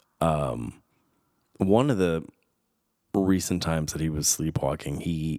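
On a very clean recording with a silent background, a man speaks in a very deep, low pitch. His pace is very slow. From Southern California. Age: 30s. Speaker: podcast host. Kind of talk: casual solo podcast monologue. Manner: animated.

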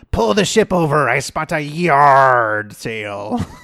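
Using a put-on character voice, a man speaks at a fairly slow pace with a medium pitch. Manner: put-on, jokey.

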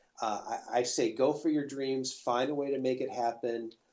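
This man talks in a plain, everyday voice with an American accent. His pitch is medium and his pace moderate. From US Midwest. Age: 40s. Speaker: pianist and recording artist. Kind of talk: interview.

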